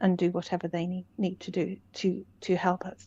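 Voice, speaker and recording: A medium-pitched woman talks with little noise behind her. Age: 60s. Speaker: common law educator. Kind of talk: interview. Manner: halting.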